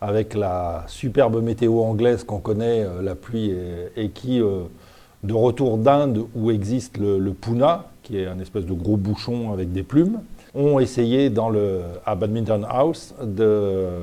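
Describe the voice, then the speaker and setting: Very slow speech from a man, fairly low-pitched, with a dark, mellow tone and ordinary pitch variation. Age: 60s. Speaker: badminton umpire. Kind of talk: interview. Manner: hesitant, many fillers.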